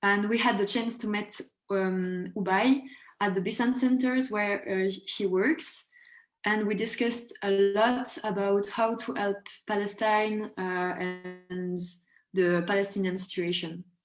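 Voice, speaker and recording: A woman speaks slowly in a French accent, with medium pitch and fairly even intonation. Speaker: student activist. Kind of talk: self-introduction on webinar. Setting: video call webinar.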